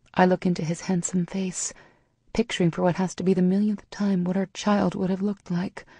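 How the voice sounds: Just a natural reading voice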